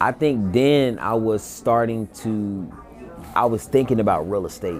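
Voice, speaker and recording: Over background music, a man speaks at a fairly slow pace and a medium pitch, with ordinary pitch variation. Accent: American. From North Carolina, Greensboro. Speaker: podcast host, realtor. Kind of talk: casual interview.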